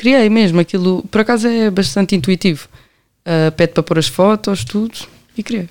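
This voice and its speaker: A woman with an unremarkable speaking voice talks at a medium pitch with ordinary pitch variation, recorded dry and close with no echo. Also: moderate pace. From Portugal, Amadora (Lisbon area). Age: 20s. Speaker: law graduate running a youth help project. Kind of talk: casual interview chat.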